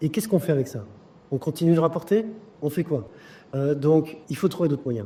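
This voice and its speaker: The tone is dark and mellow, with lively intonation and a moderate pace. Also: man. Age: 50s. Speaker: surgeon. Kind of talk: testimony. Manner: hesitant with fillers.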